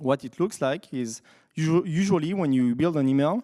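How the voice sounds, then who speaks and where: A man with a French accent speaks fairly slowly in a fairly high pitch, with lively intonation and a dark, mellow tone. The recording is very clean and dry, close with no echo and a silent background. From France. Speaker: software developer, conference speaker. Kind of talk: conference talk. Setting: stage with audience. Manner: hesitant, many fillers.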